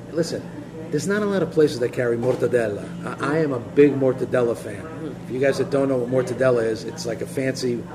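Very fast speech from a man at medium pitch, ordinary pitch variation, noticeable background noise underneath. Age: 50s. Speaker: local podcast host. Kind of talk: casual interview. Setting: in a cafe.

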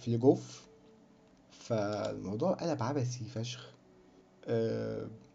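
Very slow and full of long, frequent pauses, a man speaks with audible room echo. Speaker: film podcast host. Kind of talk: casual solo monologue. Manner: rambling, chatty. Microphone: cheap bad microphone.

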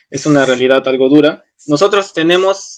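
This man has an ordinary speaking voice, pitched fairly high, with fairly even intonation at a moderate pace. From Peru, Arequipa. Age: 20s. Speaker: university student and dance teacher. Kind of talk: casual conversation.

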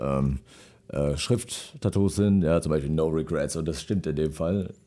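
On a very clean recording with a silent background, a man has a very deep, low pitch and a dark, mellow tone. His pace is moderate and his pitch varies in an ordinary way. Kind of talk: casual radio interview. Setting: radio studio. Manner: hesitant, filler words.

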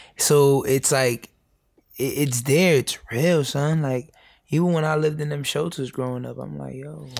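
In a very clean recording with a silent background, a man with a plain, everyday voice talks at a moderate pace and fairly high pitch, his intonation fairly even but his loudness swinging widely. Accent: American. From New York, the Bronx. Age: 20s. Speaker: youth educator. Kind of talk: casual chat. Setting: in person in the Bronx.

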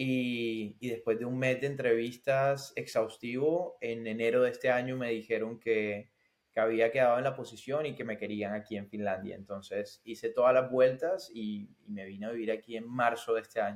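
A man with an unremarkable speaking voice and medium pitch at a moderate pace, fairly even in intonation with hardly any pauses. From Colombian Caribbean, Barranquilla. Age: 20s. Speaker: tech sales professional. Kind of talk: interview.

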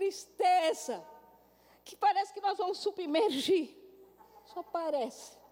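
Noticeable background noise sits behind a woman speaking at a fairly slow pace. Her tone is animated, with ordinary pitch variation. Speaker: pastor. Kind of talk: sermon.

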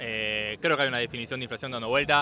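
A man with an Argentine accent, fairly quick pace and ordinary pitch variation. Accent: Argentine Spanish (Rioplatense). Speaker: bitcoin community member. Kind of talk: casual chat.

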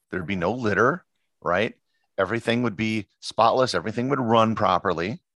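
In a very clean recording with a silent background, a man with an American accent and a plain, everyday voice speaks at a fairly quick pace, his pitch fairly low with ordinary variation. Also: dry, close sound with no echo. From Appleton, Wisconsin, US Upper Midwest. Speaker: travel podcaster and photographer. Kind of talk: casual interview chat.

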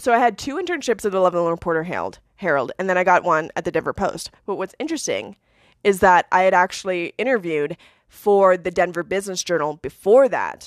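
A woman with an ordinary speaking voice and an American accent, medium-pitched with ordinary pitch variation and a fairly quick pace, recorded dry and close with no echo, very clean, in a silent background. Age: 30s. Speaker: former journalist, podcaster. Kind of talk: personal monologue podcast. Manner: casual, frequent laughter.

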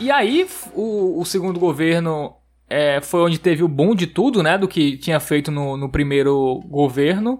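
Pitched high for a man, this male voice moves at a fairly slow pace with lively intonation. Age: 20s. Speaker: podcast host. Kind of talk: casual chat.

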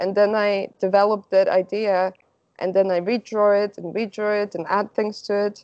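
In a Slovak accent, a woman speaks at a moderate pace with medium pitch and monotone, flat intonation. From Slovakia. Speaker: artist. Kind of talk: interview.

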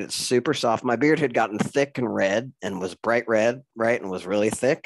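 A man with a plain, everyday voice, medium pitch, ordinary pitch variation and a moderate pace against a quiet background. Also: dry, close sound with no echo. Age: 50s. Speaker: podcast host. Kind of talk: interview.

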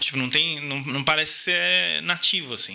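Noticeable background noise runs under this recording. A man speaks with lively intonation. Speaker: podcast guest, designer. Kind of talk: casual chat.

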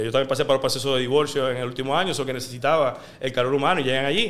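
Bright and sharp in tone, a man speaks very fast at a fairly high pitch. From Puerto Rico, Guaynabo. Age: 30s. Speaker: sports journalist. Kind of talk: casual interview.

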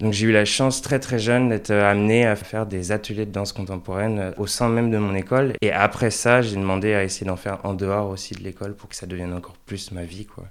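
In an ordinary speaking voice, a man with a fairly low pitch talks at a fairly quick pace with hardly any pauses, fairly even intonation and big swings in loudness. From France, Angers. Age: 20s. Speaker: dancer and choreographer. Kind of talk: interview conversation. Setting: in person.

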